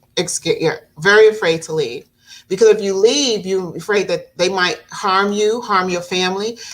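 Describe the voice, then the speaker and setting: Here is a woman with an unremarkable speaking voice at medium pitch. She keeps a moderate pace with ordinary pitch variation. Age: 60s. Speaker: domestic abuse advocate and talk show host. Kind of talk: podcast interview. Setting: live stream.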